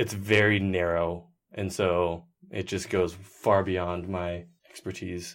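An American-accented man with a very deep, low voice speaks at a very slow pace on a very clean recording with a silent background. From Seattle, US Pacific Northwest. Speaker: baseball writer. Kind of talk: casual interview chat.

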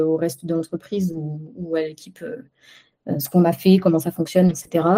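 A woman's fairly low voice carries a dark, mellow tone. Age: 40s. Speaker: web developer. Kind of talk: interview.

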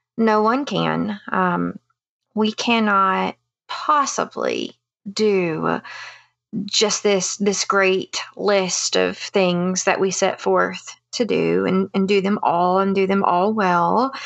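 A woman's voice at a very slow pace with very even loudness. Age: 30s. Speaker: counselor and mom. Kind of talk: interview conversation.

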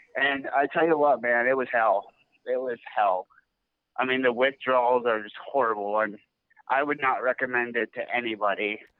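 At a moderate pace, this is a normal speaking voice with fairly even intonation. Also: man, medium pitch for a man. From California. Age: 20s. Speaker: caller in recovery. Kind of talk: casual chat. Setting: phone call.

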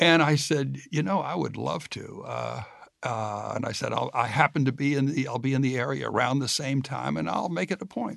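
A man speaks at a medium pitch with vocal fry. His intonation is lively, and the background is quiet. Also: moderate pace. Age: 60s. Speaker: podcast host and interviewer. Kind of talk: interview, conversational.

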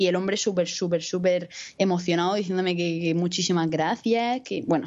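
At a moderate pace, a woman with an unremarkable speaking voice talks in a medium pitch with ordinary pitch variation. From Spain, Murcia. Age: 20s. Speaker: podcaster and university student. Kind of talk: casual chat.

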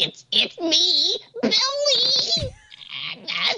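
An extremely high, squeaky put-on character voice comes through.

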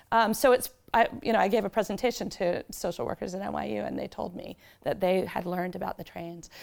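A woman's medium-pitched voice with vocal fry at a very fast pace. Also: ordinary pitch variation. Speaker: novelist. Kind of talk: author talk with slides. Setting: library event with audience.

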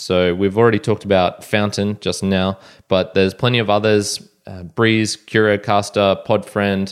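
On a very clean recording with a silent background, a man with an Australian accent speaks in a fairly low-pitched, monotone, flat voice. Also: moderate pace. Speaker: podcast host. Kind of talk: solo podcast monologue.

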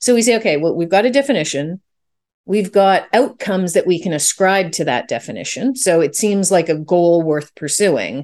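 A woman speaks in an unremarkable speaking voice with a Canadian accent, medium pitch and lively intonation. Her pace is moderate, and the background is quiet. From Canada. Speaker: business founder and consultant. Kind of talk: interview.

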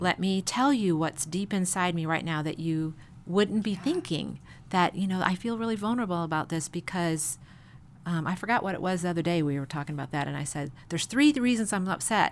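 A woman with an American accent talks at a fairly quick pace in an unremarkable speaking voice. Her pitch is fairly low and her intonation lively. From Chicago. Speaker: pastor's wife. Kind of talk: casual interview.

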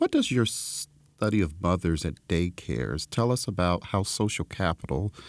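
A man speaks with a very deep, low pitch and lively intonation. The recording is very clean, with a silent background. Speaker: podcast host. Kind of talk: interview.

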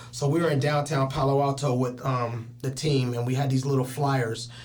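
Amid noticeable background noise and audible room echo, a man of medium pitch speaks at a moderate pace in a monotone, flat intonation. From Richmond, California (Bay Area). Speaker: PE teacher and rapper. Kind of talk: casual chat. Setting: studio.

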